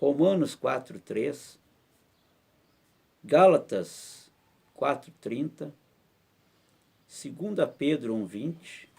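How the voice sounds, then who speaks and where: Very slowly and with long, frequent pauses, a man speaks at a fairly high pitch with lively intonation. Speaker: pastor. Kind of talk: bible study teaching in church.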